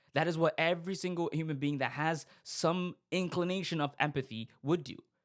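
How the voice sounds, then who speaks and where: A man speaks at a moderate pace with a non-native accent and ordinary pitch variation. The recording is very clean, with a silent background. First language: not English. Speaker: podcast host. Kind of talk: casual monologue commentary. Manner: halting, frequent fillers and restarts.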